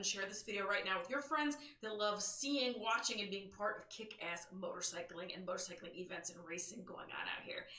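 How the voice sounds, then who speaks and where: A woman with lively intonation and an animated tone at a fairly quick pace, audible room echo and noticeable background noise. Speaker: motorcycle news show host. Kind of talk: live stream news show. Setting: live stream. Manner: loud.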